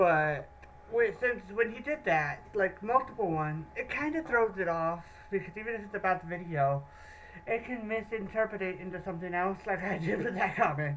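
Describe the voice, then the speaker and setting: Over noticeable background noise, a woman speaks at a moderate pace with a medium pitch and lively intonation. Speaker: YouTube reactor. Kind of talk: casual reaction commentary. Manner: halting.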